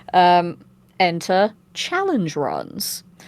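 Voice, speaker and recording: A woman with a British accent. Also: very clean recording, silent background. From Britain. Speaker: voice actor and streamer. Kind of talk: casual chat.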